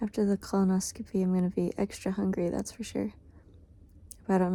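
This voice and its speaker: A woman's somewhat breathy, dark, mellow voice at medium pitch, with monotone, flat intonation. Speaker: singer-songwriter vlogger. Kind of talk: casual vlog. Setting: talking from bed; hospital bathroom. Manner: quiet, subdued.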